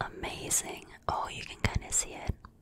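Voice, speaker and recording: A woman is heard. She whispers. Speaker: ASMR creator. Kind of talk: ASMR brushing and whispering. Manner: whispered, soft-spoken. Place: home room. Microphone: studio mic.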